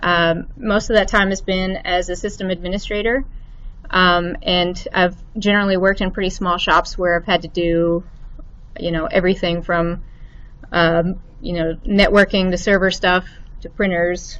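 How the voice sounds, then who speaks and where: A woman speaks with a slight Arkansas accent. Her intonation stays fairly even. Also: medium pitch for a woman, moderate pace. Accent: slight Arkansas lilt. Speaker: IT administrator. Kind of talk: lecture. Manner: halting, many fillers.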